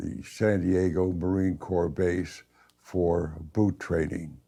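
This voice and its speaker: Very deep, low pitch from a man, dark and mellow in tone. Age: 80s+. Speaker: war veteran. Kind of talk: testimony.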